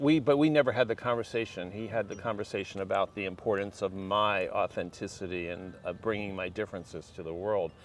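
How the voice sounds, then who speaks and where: A man with an American accent, a normal speaking voice, ordinary pitch variation and a fairly quick pace. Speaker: LGBTQ rights activist. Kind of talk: casual interview chat.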